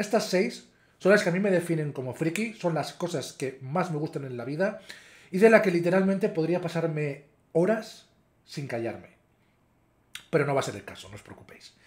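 This man's voice is high for a man, with lively intonation and big swings in loudness. He keeps a moderate pace but leaves long, frequent pauses. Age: 30s. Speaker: YouTuber. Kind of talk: casual vlog commentary. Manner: hesitant, with fillers.

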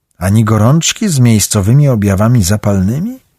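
Fairly low in pitch, a man delivers his lines in a dramatic tone at a moderate pace. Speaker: audiobook narrator. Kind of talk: audiobook narration. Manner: dramatic, varied pacing and voices.

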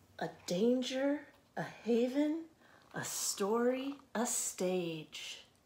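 Over light background noise, a woman speaks at a very slow pace in a high pitch, her dark, mellow, gentle, warm tone carrying very wide pitch swings. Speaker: librarian. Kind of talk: children's storytime reading aloud. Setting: video recording from a library. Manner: slow, rhythmic, gentle cadence with pauses between repeated lines; warm, friendly, welcoming to children. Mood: gentle, warm, expressive. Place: home room. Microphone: phone near.

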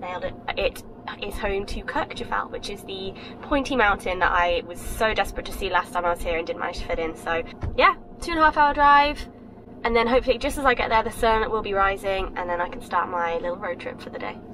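Noticeable background noise runs through the clip. Over it, a woman speaks at a very fast pace. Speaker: travel vlogger. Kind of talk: casual vlog chat. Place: car. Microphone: phone near.

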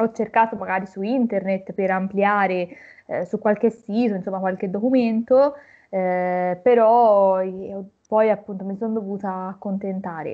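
Against a quiet background, a woman speaks at a medium pitch and fairly slow pace with fairly even intonation. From Tuscany, Florence area; Tuscany. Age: 20s. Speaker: recent university graduate; interviewee. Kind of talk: interview. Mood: calm, reflective. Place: home room. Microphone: video call.

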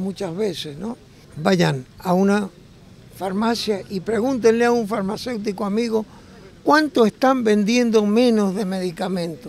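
Recorded with a dry sound and no echo, a man speaks at a high pitch with ordinary pitch variation. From Argentina. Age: 70s. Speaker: retiree activist. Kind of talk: street interview, political complaint. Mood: indignant, critical. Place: street. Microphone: handheld.

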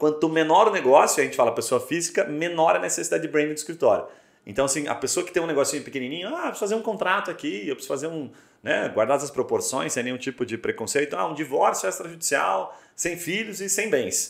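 A man's voice with vocal fry at a very fast pace, with audible room echo. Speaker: podcast host. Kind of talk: podcast interview. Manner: casual. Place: studio.

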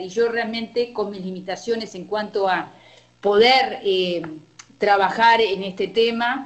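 A woman speaks at a fairly slow pace. Her voice is fairly high, with fairly even intonation. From Uruguay. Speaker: oncologist. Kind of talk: clinical discussion. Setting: video call. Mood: earnest, reflective. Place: meeting room. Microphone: camera far.

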